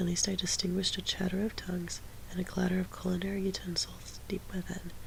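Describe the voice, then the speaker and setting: A soft-spoken whisper delivered at a very fast pace. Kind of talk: audiobook reading of a classic novel. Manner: soft-spoken, quiet, whispery.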